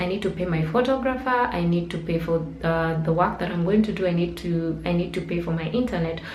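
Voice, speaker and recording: A woman's fairly low voice with ordinary pitch variation, audible room echo and noticeable background noise. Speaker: blogger and digital marketer. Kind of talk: tutorial. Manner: fast.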